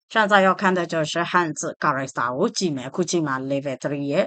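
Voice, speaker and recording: A woman with a Burmese accent talks at a fairly quick pace in a fairly low voice, her pitch varying in an ordinary way. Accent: Burmese-accented Mandarin. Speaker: language teacher. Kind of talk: tutorial.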